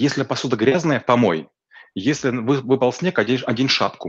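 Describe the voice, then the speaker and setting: A man talks in an ordinary speaking voice at a medium pitch. His pitch varies in an ordinary way. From rural Russia. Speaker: business coach. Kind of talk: expert interview.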